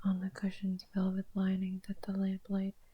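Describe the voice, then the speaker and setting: Soft-spoken, the voice proceeds at a fairly slow pace. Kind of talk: ASMR poetry reading.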